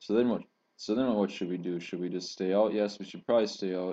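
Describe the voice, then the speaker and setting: With a dark, mellow tone, a man speaks at a fairly low pitch and with fairly even intonation. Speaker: trader. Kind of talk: tutorial. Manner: fast.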